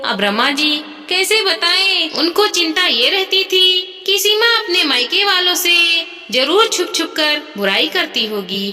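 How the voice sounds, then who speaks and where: A woman at an extremely high pitch, speaking at a fairly slow pace. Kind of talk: moral story narration. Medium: read story. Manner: steady, gentle.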